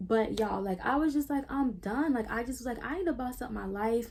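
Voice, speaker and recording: A woman talks at a fairly quick clip, her intonation lively. Her tone is dark and mellow, and somewhat breathy. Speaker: YouTuber. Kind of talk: storytime vlog. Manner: casual, filler-heavy; stuttering at times.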